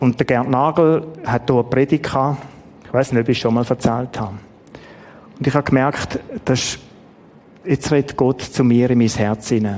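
In a Swiss accent, the speaker talks at a moderate pace with fairly even intonation and long, frequent pauses. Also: man, medium pitch for a man. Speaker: preacher. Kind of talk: sermon. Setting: church.

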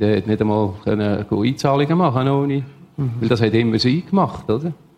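This man speaks at a medium pitch and a moderate pace. His pitch variation is ordinary. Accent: Swiss. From Switzerland, canton Solothurn. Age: 60s. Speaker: former prisoner and drug addict. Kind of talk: testimony.

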